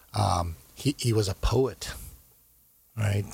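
A man's somewhat breathy, fairly low voice on a very clean recording with a silent background. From US, Korean American raised. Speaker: investment banker and foundation co-founder. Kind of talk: interview. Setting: studio.

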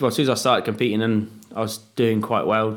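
Here a man talks at a moderate pace with an English accent. His pitch is fairly low. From England. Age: 30s. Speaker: freeride mountain bike rider. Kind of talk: casual chat.

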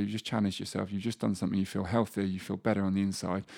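A man is speaking. His pitch is fairly low. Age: 30s. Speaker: life coach. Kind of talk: casual chat. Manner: halting.

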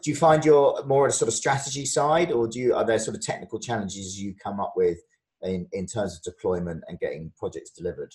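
In a British accent, a man talks very fast. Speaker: podcast host. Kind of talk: casual interview chat.

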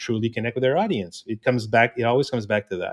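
A man with a French-Canadian accent at medium pitch, with ordinary pitch variation and a quiet background. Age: 50s. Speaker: inclusion consultant. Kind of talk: interview.

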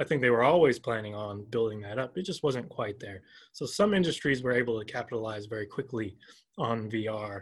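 This man has a normal speaking voice with an American accent, medium pitch and ordinary pitch variation. He talks at a fairly quick pace on a very clean recording with a silent background. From US South, Georgia. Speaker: professor. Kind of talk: interview.

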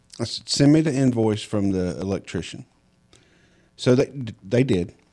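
The voice has a dark, mellow tone and a Southern US accent. It moves at a fairly slow pace with long, frequent pauses. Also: man. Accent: Southern US, noticeable. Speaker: podcast host and home inspector. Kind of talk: casual interview chat.

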